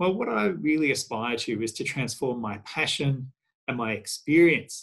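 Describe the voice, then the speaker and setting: Speaking with an Australian accent, a man has a fairly high pitch. His intonation is lively, and the background is quiet. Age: 50s. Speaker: historian; panelist. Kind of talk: career talk. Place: home room. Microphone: webcam.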